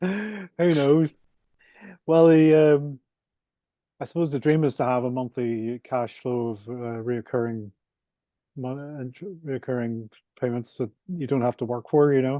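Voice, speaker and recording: A man with a Northern Irish accent, medium pitch, dark and mellow tone, ordinary pitch variation, fairly slow pace with long, frequent pauses, and a dry, close sound with no echo. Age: 60s. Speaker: property developer and author. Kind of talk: podcast interview.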